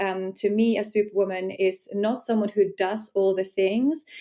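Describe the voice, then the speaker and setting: In a Finnish accent, a woman speaks at a medium pitch with a dark, mellow tone and flat, monotone intonation. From Finland. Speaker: sensuality empowerment coach. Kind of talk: podcast interview.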